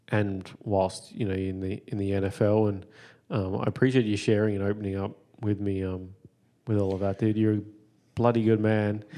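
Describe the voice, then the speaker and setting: Over a quiet background, a man with an Australian accent speaks at a moderate pace in a fairly low, dark, mellow voice with monotone, flat intonation. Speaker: podcast host. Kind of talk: casual chat; testimony.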